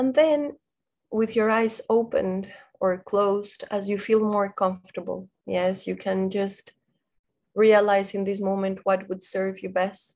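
Fairly slow and fairly even in intonation, a woman's speech comes over a quiet background. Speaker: meditation guide. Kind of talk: guided meditation. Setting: video call. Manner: slow, calm, gently paced with pauses; soft-spoken, soothing, instructing in a hushed tone. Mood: calm, soft, slow. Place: home room. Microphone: video call.

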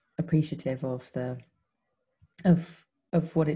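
A woman's very deep, low voice, somewhat breathy and dark and mellow in tone, at a fairly slow pace against a quiet background. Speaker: podcast co-host. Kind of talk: reflective conversation. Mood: warm, grateful, reflective. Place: home room. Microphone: video call.

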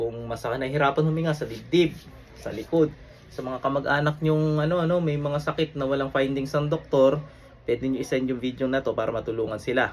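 With noticeable background noise behind him, a man talks fairly quickly at a fairly high pitch with fairly even intonation. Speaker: faith healer. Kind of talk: fervent deliverance prayer, commanding and declaratory, invoking divine names. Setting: online video recording. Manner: intense, forceful, rapid-fire incantation; casual, conversational, chatty when explaining.

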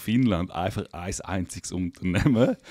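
Very deep and low in pitch, a man's voice moves at a fairly slow pace with ordinary pitch variation. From Liechtenstein. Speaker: podcast host. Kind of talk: casual chat. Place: studio. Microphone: studio mic.

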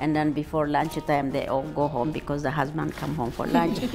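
Over clear background music, a woman with a very deep, low voice speaks at a moderate pace with fairly even intonation. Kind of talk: interview answer. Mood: warm, smiling. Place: cafe. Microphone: lapel.

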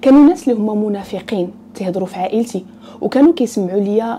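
A woman speaks at a moderate pace against light background noise. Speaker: storyteller. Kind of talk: storytime narration. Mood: earnest, personal. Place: home room. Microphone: lapel.

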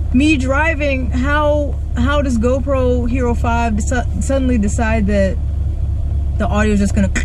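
At a moderate pace and with fairly even intonation, a man speaks in a dry, echo-free recording with noticeable background noise. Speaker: car reviewer. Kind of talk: casual vlog chat. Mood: frustrated, annoyed. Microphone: camera far.

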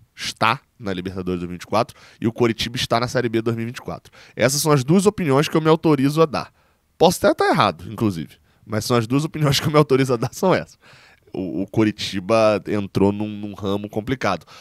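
Against a quiet background, a man talks at a fairly quick pace with lively intonation, the sound dry with no echo. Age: 20s. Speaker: sports journalist and fan channel host; sports journalist, fan channel host. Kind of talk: football round-up commentary. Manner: casual, conversational. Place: home room.

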